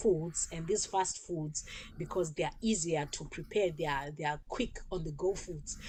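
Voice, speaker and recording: A somewhat breathy woman at a fairly slow pace. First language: not English. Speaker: talk show host. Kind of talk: informational talk show monologue. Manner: halting, with repetitions.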